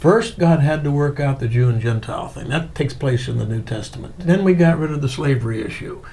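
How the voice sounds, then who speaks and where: Talking at a fairly quick pace with ordinary pitch variation, a man with a fairly high pitch is heard through audible room echo and noticeable background noise. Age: 70s. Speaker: church historian and theologian. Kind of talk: interview.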